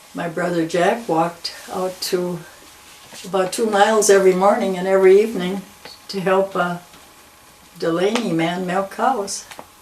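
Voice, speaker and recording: Long, frequent pauses break up speech delivered at a moderate pace in an American accent. Noticeable background noise runs underneath. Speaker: longtime local resident. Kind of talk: oral history interview. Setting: at her home.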